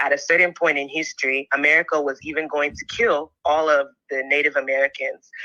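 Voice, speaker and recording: This woman has a very deep, low pitch and a bright, sharp tone. She speaks fairly quickly. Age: 20s. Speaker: caller. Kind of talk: phone-in call. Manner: halting, many fillers.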